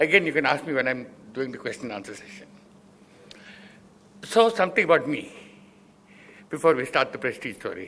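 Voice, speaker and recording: A bright, sharp voice moves at a fairly quick pace with very wide pitch swings, big shifts in loudness, and long, frequent pauses. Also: man, fairly high pitch for a man. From South India. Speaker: business founder. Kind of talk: lecture. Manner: fast; slurred speech.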